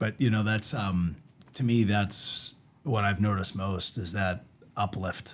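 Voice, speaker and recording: Speaking at a fairly slow pace, a man uses a fairly low pitch. His pitch varies in an ordinary way. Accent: Boston. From Boston. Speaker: winery owner. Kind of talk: casual chat. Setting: studio podcast on video.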